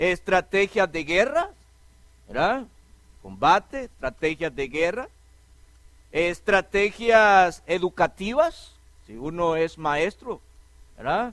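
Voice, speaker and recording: Using a high pitch and lively intonation, a man speaks at a very slow pace with long, frequent pauses and big swings in loudness, the sound dry and close with no echo. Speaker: preacher. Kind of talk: sermon.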